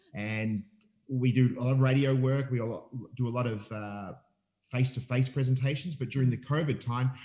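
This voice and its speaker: A man with an Australian accent talks at a fairly quick pace in a medium pitch. His voice is somewhat breathy, with a dark, mellow tone and fairly even intonation. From Australia, Melbourne. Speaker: family ministry leader. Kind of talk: casual interview.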